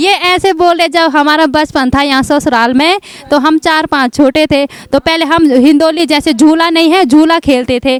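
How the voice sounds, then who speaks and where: The speech runs with hardly any pauses, very even loudness and fairly even intonation. Noticeable background noise is present. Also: woman, high pitch for a woman. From Uttarakhand. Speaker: interpreter.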